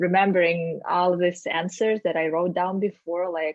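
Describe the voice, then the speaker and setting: A woman talks at a moderate pace and medium pitch. She has a strong non-native accent. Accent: strong foreign. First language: not English. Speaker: sales executive. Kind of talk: interview conversation. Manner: hesitant, many fillers.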